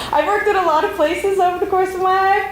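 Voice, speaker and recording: A woman amid audible room echo and noticeable background noise. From Canada, Montreal, Quebec. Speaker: librarian and conference speaker. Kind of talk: conference talk. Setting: stage with audience. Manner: fast.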